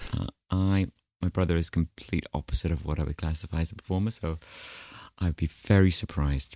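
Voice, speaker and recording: A man with a very deep, low pitch and a dark, mellow tone talks at a very fast pace in a dry, close sound with no echo, a very clean recording with a silent background. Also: ordinary pitch variation. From Wales, then New Zealand from about age ten. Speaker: musical theatre actor. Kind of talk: casual interview.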